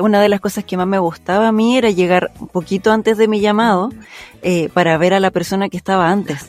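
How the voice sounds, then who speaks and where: A woman of medium pitch with an unremarkable speaking voice, fairly even intonation and a fairly quick pace, in a dry, close sound with no echo. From Chile, Santiago (Maipú). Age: 30s. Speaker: voice actress. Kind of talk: casual chat.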